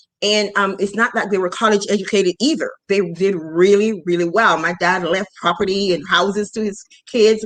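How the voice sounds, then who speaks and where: This woman has a normal speaking voice, medium in pitch, delivered at a moderate pace with fairly even intonation and hardly any pauses. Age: 50s. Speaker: finance podcast host. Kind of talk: casual interview chat.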